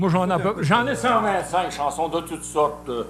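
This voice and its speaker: Music plays in the background. The speaker talks at a fairly slow pace with lively intonation. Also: man. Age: 70s. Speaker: singer. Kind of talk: casual chat.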